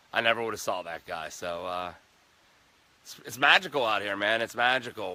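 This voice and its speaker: A man's fairly low voice, bright and sharp in tone, at a moderate pace, with long, frequent pauses and big swings in loudness. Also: ordinary pitch variation. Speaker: hiking vlogger. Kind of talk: casual vlog narration. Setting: outdoors on hiking trail. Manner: unscripted, stumbling over words.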